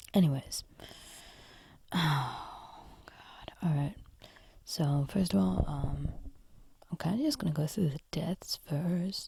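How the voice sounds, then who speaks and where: Very slow pace with long, frequent pauses. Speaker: podcaster reviewing horror TV. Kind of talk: casual monologue. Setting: recording at home late at night. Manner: quieter than usual.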